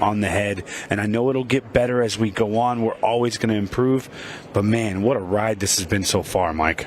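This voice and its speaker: Noticeable background noise surrounds this recording. A man with a fairly low voice speaks at a moderate pace with fairly even intonation. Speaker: pool commentator. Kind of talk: live commentary. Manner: higher pitch when passionate.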